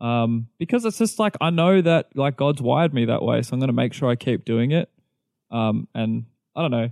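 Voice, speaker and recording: At a moderate pace, a man with an Australian accent speaks at medium pitch with ordinary pitch variation. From Melbourne, Australia. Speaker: pastor. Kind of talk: casual chat.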